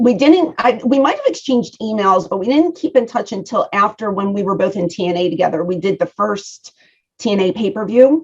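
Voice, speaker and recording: Speaking at a fairly quick pace, a woman has a medium pitch, lively intonation and a somewhat breathy sound. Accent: strong Philadelphia. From Philadelphia. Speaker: professional wrestler. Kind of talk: interview.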